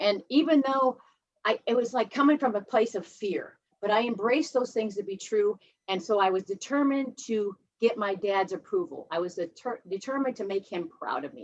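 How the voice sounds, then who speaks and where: In a Midwestern US accent, a woman with a fairly high pitch talks at a moderate pace using lively intonation. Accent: US Midwest. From Ohio, US Midwest. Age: 50s. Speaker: recovering alcoholic speaker at a 12-step meeting. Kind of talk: personal testimony. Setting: video call.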